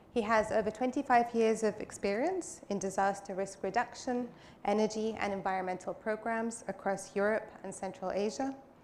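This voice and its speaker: A woman with an ordinary speaking voice talks at a moderate pace, with fairly high pitch and ordinary pitch variation. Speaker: panel moderator. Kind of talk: conference panel moderation.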